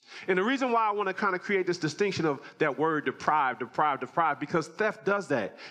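The speaker talks very fast with hardly any pauses and very even loudness. The tone is bright, sharp and animated, with lively intonation. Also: man, high pitch for a man. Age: 40s. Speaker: pastor. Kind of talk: sermon.

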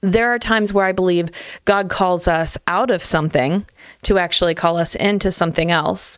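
An ordinary speaking voice from a woman, with ordinary pitch variation, very even loudness and a moderate pace. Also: fairly low pitch for a woman. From Ohio, small town. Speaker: church family ministry director. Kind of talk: casual chat.

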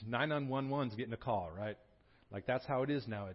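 Fairly quick, animated speech from a man with a medium pitch and ordinary pitch variation. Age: 40s. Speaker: pastor. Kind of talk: sermon. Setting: church.

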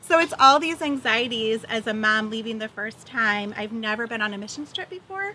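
A normal speaking voice with lively intonation, a moderate pace and hardly any pauses. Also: woman, fairly high pitch for a woman. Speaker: missions trip volunteer. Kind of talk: testimony.

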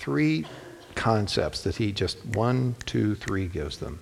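The intonation here is lively. It comes through in a normal speaking voice. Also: man. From Ohio, US Midwest (Toledo). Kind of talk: sermon.

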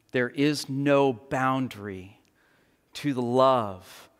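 This very clean recording has a silent background. The speaker has a Texan accent. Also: man. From Texas Panhandle. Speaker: pastor. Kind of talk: sermon. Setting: church.

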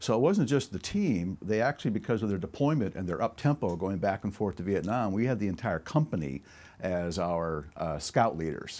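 On a very clean recording with a silent background, a man with an ordinary speaking voice talks fairly quickly. His pitch is fairly low, and his intonation is lively. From moved around US as Air Force child, born in Alaska. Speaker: military veteran. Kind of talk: casual interview. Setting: at host's house.

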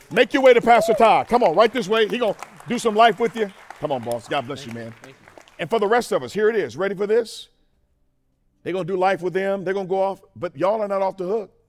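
Against crowd noise in the background, a man speaks very fast at a high pitch, with lively intonation and a passionate, animated tone. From Mississippi. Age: 40s. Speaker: preacher. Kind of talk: sermon. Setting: stage with audience. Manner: call-and-response, passionate.

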